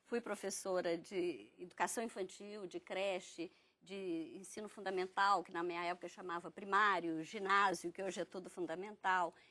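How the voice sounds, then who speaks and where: With a bright, sharp tone, a woman talks at a moderate pace and a medium pitch. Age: 60s. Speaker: politician and former teacher. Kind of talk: TV panel debate.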